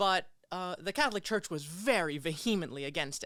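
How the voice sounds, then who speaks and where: An American accent comes through on a very clean recording with a silent background. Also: woman. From New Jersey and the Philippines. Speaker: church member and martial artist. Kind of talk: interview about spiritual journey. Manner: casual, many fillers.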